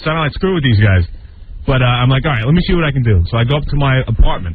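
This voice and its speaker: A man at a medium pitch with lively intonation and a very fast pace, over noticeable background noise. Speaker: radio show sidekick. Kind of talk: casual storytelling about money troubles. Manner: sheepish, rueful.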